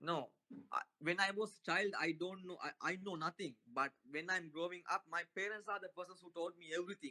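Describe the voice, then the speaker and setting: A man with a non-native accent and a high pitch speaks at a moderate pace with fairly even intonation and big swings in loudness. His tone is bright and sharp, and the sound is dry and close with no echo. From Sri Lanka. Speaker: Buddhist passer-by. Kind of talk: street conversation. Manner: halting.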